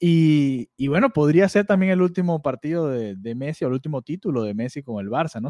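On a very clean recording with a silent background and a dry, close sound with no echo, a man talks at a fairly quick pace with hardly any pauses, very wide pitch swings and a dark, mellow tone. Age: 20s. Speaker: football podcast host. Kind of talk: casual football chat. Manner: halting, many repetitions.

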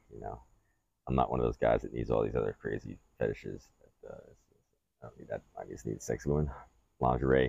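A man with a very deep, low pitch and a dark, mellow tone talks at a fairly quick pace in a monotone, flat delivery, with vocal fry, big swings in loudness, and long, frequent pauses. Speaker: podcast host. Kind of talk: casual chat. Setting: outdoors on deck.

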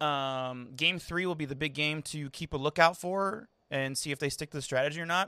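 Loud and bright with a sharp tone, a man speaks with hardly any pauses in a very clean recording with a silent background and a dry, close sound with no echo. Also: fairly high pitch for a man, ordinary pitch variation, fairly quick pace. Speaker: baseball podcast host. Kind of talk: casual chat. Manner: animated.

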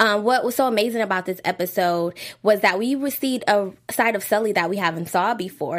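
A woman with a plain, everyday voice at a moderate pace, with ordinary pitch variation, in a very clean recording with a silent background. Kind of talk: casual chat.

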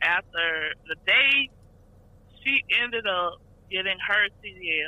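In a Southern US accent, a woman speaks. Her pace is very slow. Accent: Southern US (Georgia). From Georgia, US South. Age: 20s. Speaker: truck driver. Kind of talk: casual interview. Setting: phone call.

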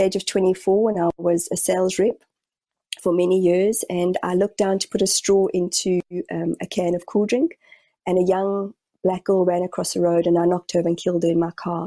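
A calm woman with a New Zealand accent, a medium pitch and a dark, mellow tone, fairly quick and monotone, flat in intonation, in a dry, close sound with no echo. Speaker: spiritual medium. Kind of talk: interview. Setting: video call.

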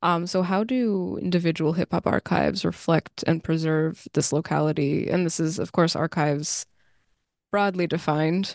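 In a normal speaking voice, a woman talks at a moderate pace with ordinary pitch variation and very even loudness, recorded dry and close with no echo. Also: fairly low pitch for a woman, quiet background. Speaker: podcast host. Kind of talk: interview.

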